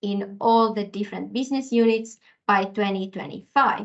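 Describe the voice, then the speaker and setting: Here is an ordinary speaking voice with ordinary pitch variation. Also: woman. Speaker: corporate sustainability specialist. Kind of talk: webinar presentation. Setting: online webinar.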